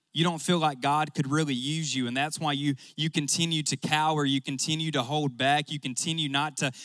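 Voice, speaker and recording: A man speaks in a Southern US accent at a fairly high pitch. The recording is very clean, with a silent background. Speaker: youth pastor. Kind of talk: sermon. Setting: stage with audience. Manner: animated.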